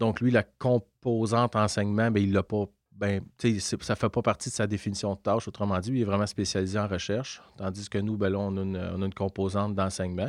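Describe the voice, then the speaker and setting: A man's fairly low voice at a fairly quick pace, dry and close with no echo, over a quiet background. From Quebec, Lanaudière (near Joliette). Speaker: university professor and researcher. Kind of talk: interview. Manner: halting, many repetitions.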